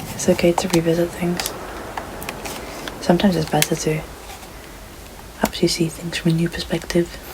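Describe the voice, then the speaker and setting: A soft-spoken woman talks at a fairly quick pace in a flat, monotone voice, with long, frequent pauses and noticeable background noise. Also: fairly low pitch for a woman. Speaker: gaming streamer. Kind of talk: let's play commentary. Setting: in bed at home. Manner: deep low register. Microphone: poor home mic.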